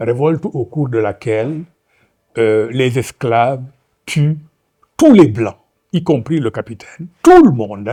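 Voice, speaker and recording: Over a very clean recording with a silent background, a man with a Senegalese accent and a medium-pitched, dark, mellow tone speaks at a very slow pace with lively intonation and long, frequent pauses. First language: Wolof (speaking French). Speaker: novelist. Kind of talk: lecture. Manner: hesitant, many fillers.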